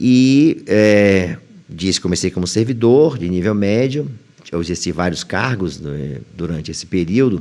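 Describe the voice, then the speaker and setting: A man speaks at a fairly slow pace with a very deep, low pitch. His tone is dark and mellow, and his intonation is lively. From Bahia, northeastern Brazil (Itaberaba). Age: 60s. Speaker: high court judge. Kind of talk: interview.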